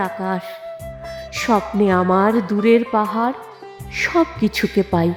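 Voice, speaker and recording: A woman speaks with lively intonation while music plays behind her. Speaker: reciter. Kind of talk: poetry reading.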